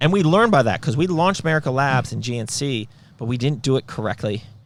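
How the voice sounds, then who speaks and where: A man at medium pitch speaks at a very fast pace in an animated tone with lively intonation. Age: 40s. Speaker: supplement company founder and podcast host. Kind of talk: casual business podcast chat. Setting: company headquarters.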